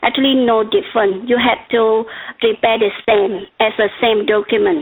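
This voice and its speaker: In a Vietnamese accent, a woman speaks. Her pitch is fairly high. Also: ordinary pitch variation, moderate pace, very even loudness. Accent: noticeable Vietnamese. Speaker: regulatory consultant presenter. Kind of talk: webcast presentation.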